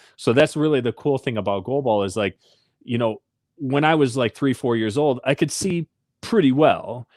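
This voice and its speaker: Heard on a very clean recording with a silent background, a man speaks with an Upper Midwest accent. His pitch is medium and his pace moderate. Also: ordinary pitch variation, dry, close sound with no echo. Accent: Upper Midwest American. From southwest Michigan, rural. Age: 30s. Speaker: Paralympic athlete. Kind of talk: interview.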